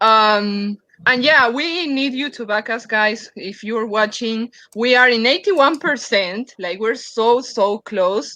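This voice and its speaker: Very slowly and with a non-native accent, a woman speaks in a fairly high pitch with ordinary pitch variation and a bright, sharp tone. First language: not English. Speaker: comic artist. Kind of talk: casual chat. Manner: halting.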